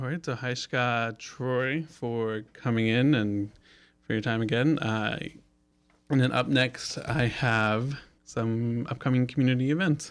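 A man talks at a fairly slow pace in a plain, everyday voice, medium in pitch with fairly even intonation. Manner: slightly flustered and giggly, laughs at own slips while reading announcements.

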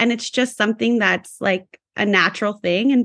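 A woman with an American accent and an unremarkable speaking voice shows ordinary pitch variation on a dry, close recording with no echo. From California. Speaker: school psychologist. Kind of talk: casual chat.

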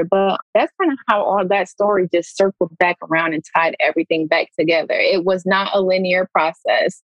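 With music playing in the background, a woman of medium pitch speaks at a moderate pace with an American accent. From US Midwest, Pontiac, Michigan (Metro Detroit). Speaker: former pro basketball player, social work PhD student. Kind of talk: casual chat. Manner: animated.

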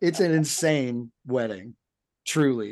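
Against a quiet background, a man speaks in a normal speaking voice, fairly high in pitch with ordinary pitch variation. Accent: American. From US South. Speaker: podcast co-host discussing films. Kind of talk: casual chat.

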